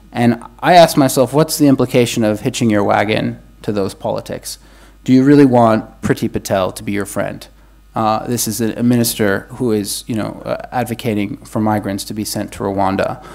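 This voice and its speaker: Noticeable background noise runs behind a man with an American accent. He speaks at a moderate pace and medium pitch, with ordinary pitch variation. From United States. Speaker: academic panelist. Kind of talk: panel discussion. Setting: conference room with audience, also streamed online. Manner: halting, many repetitions and fillers.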